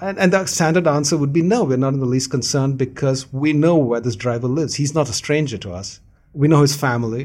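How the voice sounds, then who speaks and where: A somewhat breathy man at a fairly high pitch, with ordinary pitch variation and a very fast pace. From India. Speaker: novelist. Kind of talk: interview.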